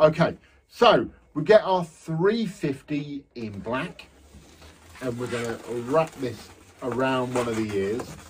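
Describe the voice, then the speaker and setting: Speaking at a very slow pace with long, frequent pauses, a man uses lively intonation and big swings in loudness over noticeable background noise. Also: medium pitch for a man. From England, Lincolnshire (Horncastle). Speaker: balloon artist instructor. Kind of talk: tutorial. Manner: casual, chatty.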